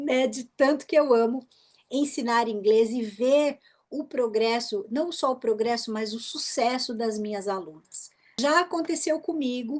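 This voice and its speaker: Her voice sits high in pitch with ordinary pitch variation. The woman speaks at a fairly slow pace. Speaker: English teacher, former executive secretary. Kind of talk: interview. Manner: animated.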